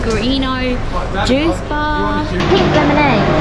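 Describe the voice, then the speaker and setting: Music runs underneath. Over it, a woman talks. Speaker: travel vlogger. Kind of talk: casual vlog chat. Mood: cheerful, laughing. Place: hall. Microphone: phone near.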